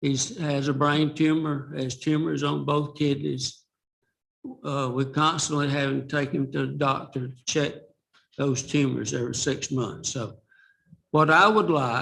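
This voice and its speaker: A man speaks fairly slowly in a Southern US accent. His pitch is fairly high and his intonation fairly even. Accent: Southern US (Georgia). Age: 70s. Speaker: retired resident speaking at public comment. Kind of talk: public comment at school board meeting.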